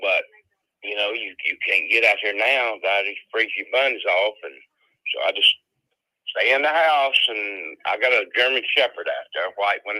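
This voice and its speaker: A man with a Southern US accent, at a fairly slow pace. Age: 70s. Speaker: home seller. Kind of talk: phone call. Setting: phone call.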